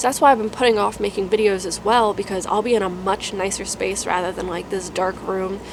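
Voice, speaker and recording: Over noticeable background noise, the speaker keeps a fairly even intonation. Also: woman, medium pitch for a woman. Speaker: UX designer and career vlogger. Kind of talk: casual vlog update. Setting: dark room at home. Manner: monotone.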